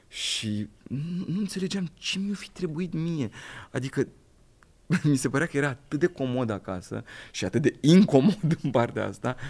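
In an ordinary speaking voice, a man talks at a moderate pace with a fairly high pitch and lively intonation. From southern Romania, Craiova. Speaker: actor. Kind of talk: casual chat.

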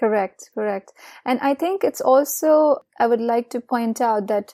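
A woman's high-pitched, dark, mellow voice at a fairly slow pace, dry and close with no echo, in a very clean recording with a silent background. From India. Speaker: skincare company founder and yoga practitioner. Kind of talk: interview.

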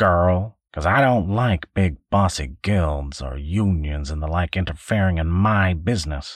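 A man's put-on character voice, very deep and low in pitch, with lively intonation. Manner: gruff, blustering, threatening.

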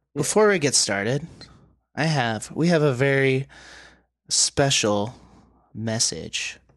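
Against a quiet background, a man speaks at a very slow pace with long, frequent pauses. His intonation is lively and his loudness very even. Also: fairly high pitch for a man. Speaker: wrestling podcast host. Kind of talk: casual chat.

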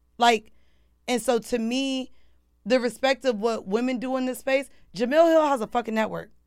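A high-pitched woman speaks with fairly even intonation and long, frequent pauses in a very clean recording with a silent background. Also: moderate pace. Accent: American. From Orlando, Florida. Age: 30s. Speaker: podcaster and media personality. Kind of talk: casual interview chat.

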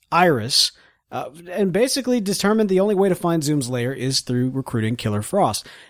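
Very wide pitch swings run through a man's speech in an American accent, on a very clean recording with a silent background. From US South. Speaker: podcast co-host. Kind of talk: casual chat. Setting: studio.

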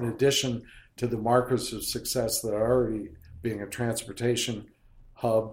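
With an American accent, a man talks at a moderate pace in a medium pitch, somewhat breathy and monotone with flat intonation. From Harrisburg, Pennsylvania. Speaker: theater director. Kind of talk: interview.

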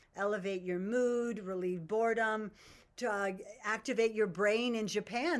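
Using an ordinary speaking voice, a woman talks fairly slowly at a fairly high pitch. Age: 60s. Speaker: herbalist. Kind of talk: interview. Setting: video call.

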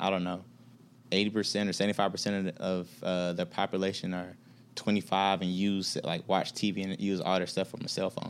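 Very deep, low male voice with monotone, flat intonation. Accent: American. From Atlanta, Georgia. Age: 30s. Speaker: business executive. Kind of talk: casual interview chat.

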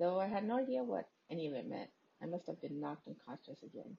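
Talking at a very fast pace, a woman uses very wide pitch swings, a fairly low pitch, vocal fry and a dark, mellow tone. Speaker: podcast host reading a creepypasta. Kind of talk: ghost story telling, reading a horror story aloud.

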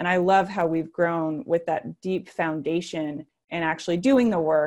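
A woman with an American accent and a plain, everyday voice, fairly low in pitch, at a moderate pace. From US, various places (military family). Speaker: nonprofit executive director. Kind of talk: podcast interview.

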